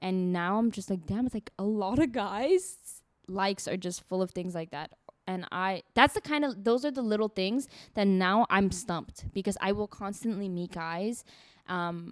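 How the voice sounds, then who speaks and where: On a very clean recording with a silent background, a woman with a non-native accent speaks at a moderate pace, the sound dry and close with no echo. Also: medium pitch for a woman, ordinary pitch variation. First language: not English. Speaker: podcast co-host. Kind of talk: casual chat.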